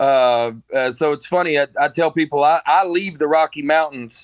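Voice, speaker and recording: A man with an Alabama accent speaks at a fairly high pitch with ordinary pitch variation. The recording is very clean and silent behind him, with a dry, close sound and no echo. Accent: Southern US (Alabama). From US South, Alabama. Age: 40s. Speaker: comedian. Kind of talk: casual chat.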